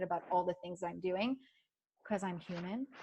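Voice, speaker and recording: A woman's animated, very fast speech with ordinary pitch variation against a quiet background. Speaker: life coach and yoga teacher. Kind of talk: online masterclass presentation.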